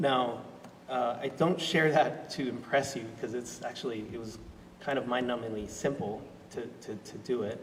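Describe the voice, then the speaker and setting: Noticeable background noise runs throughout. Over it, a man talks at a moderate pace. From Australia. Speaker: sustainability director and panel facilitator. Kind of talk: personal talk at panel discussion. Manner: halting, many fillers.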